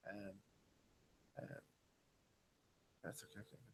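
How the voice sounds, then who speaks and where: A man speaks with an Irish accent. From western Ireland, Galway. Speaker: business consultant and engineer. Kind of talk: conference talk.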